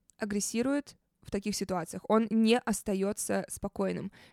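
A woman's voice at a moderate pace, with ordinary pitch variation and a dry, close sound with no echo. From Saint Petersburg, Russia. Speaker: podcast host. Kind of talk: casual storytelling monologue. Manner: animated.

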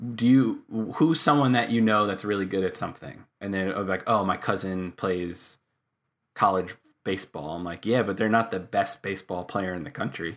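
A man in a normal speaking voice with an American accent, lively intonation and a moderate pace, in a very clean recording with a silent background. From New York, Long Island. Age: 30s. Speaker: air guitar champion and comedic musician. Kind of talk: casual interview chat.

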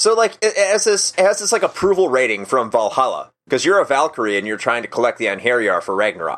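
With an American accent, a man speaks at a very fast pace, his fairly high pitch making very wide swings. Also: hardly any pauses. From US Midwest, Chicago suburbs. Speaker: navy sailor and podcast host. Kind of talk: casual chat.

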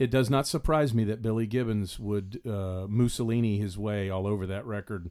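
A man speaks with a Southern US accent in a fairly low pitch and a dark, mellow tone. His intonation is fairly even, and the recording is very clean with a silent background. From US South. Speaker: podcast co-host. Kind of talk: casual chat.

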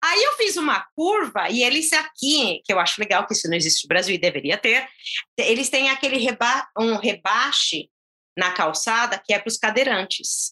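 With a bright, sharp tone and high pitch, a woman speaks at a moderate pace while her pitch swings very widely. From Brazil, São Paulo (São Caetano do Sul). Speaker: Brazilian immigrant, mother. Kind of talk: casual interview.

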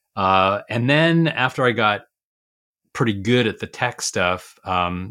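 A man's fairly low voice with a bright, sharp tone comes through on a very clean recording with a silent background. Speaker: retired school superintendent, education coach. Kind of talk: interview.

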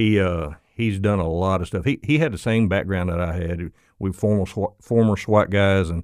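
On a very clean recording with a silent background, a man with an Arkansas accent speaks in a very deep, low pitch. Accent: Southern US, Arkansas. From Little Rock, Arkansas. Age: 50s. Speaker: motorcycle police officer and instructor. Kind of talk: casual interview chat. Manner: folksy, conversational.

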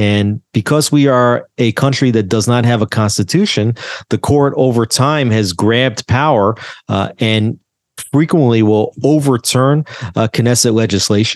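In a plain, everyday voice, a man talks at a medium pitch with ordinary pitch variation and very even loudness, recorded dry and close with no echo against a quiet background. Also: fairly slow pace. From US, New Jersey. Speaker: journalist. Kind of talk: interview.

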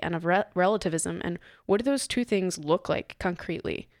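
Using a plain, everyday voice at a medium pitch, a woman talks at a fairly quick pace with lively intonation. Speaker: podcast producer and guest host. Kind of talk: casual chat. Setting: studio.

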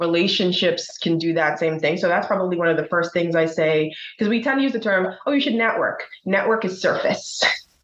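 Talking at a fairly quick pace, a woman with medium pitch and ordinary pitch variation keeps her loudness very even, with noticeable background noise and audible room echo. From Bahamas. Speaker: accounting firm partner. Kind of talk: interview conversation.

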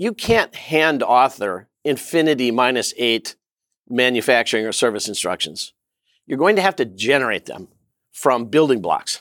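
A man with a normal speaking voice and an American accent, medium in pitch and lively in intonation, at a moderate pace, in a very clean recording with a silent background and a dry, close sound with no echo. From US Midwest, southeastern Minnesota. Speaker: tech company CEO. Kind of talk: interview.

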